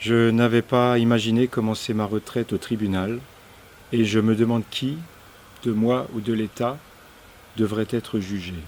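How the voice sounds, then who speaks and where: A man speaks at medium pitch in a monotone, flat way. His pace is fairly slow, with long, frequent pauses. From France, Alsace. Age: 60s. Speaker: climate activist, retiree. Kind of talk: personal statement to camera.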